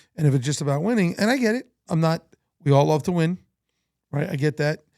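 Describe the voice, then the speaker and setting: A man with a fairly high voice talks at a very fast pace, his intonation lively and the sound dry and close with no echo. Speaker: baseball coach. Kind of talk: casual chat. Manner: loud; animated.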